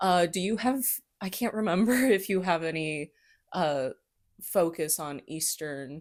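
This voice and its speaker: A woman speaks at a fairly slow pace with a Midwestern accent, her fairly low pitch carried by lively intonation. Long, frequent pauses break up her speech on a very clean recording with a silent background. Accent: Midwestern, self-described lazy. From US Midwest. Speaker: history podcast host. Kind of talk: casual chat.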